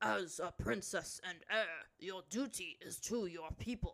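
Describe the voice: Using a put-on character voice, a woman speaks at a fairly slow pace with fairly low pitch and vocal fry. Her tone is fairly bright, with ordinary pitch variation.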